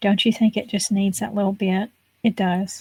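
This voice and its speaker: A woman with an American accent talks at a moderate pace, her somewhat breathy voice dark and mellow in tone, medium in pitch and fairly even in intonation, with a dry, close sound and no echo. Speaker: craft video creator. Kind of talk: crafting tutorial. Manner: whispering at times.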